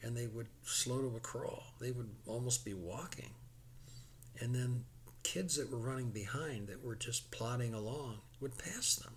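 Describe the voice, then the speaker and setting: In an American accent, a man speaks at a medium pitch and fairly slow pace, sounding somewhat breathy. His intonation is fairly even, and room echo is audible. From US Midwest (Chicago suburbs, Illinois). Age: 70s. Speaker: horse racing enthusiast explaining betting. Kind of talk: casual explanatory monologue. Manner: halting, repeats words.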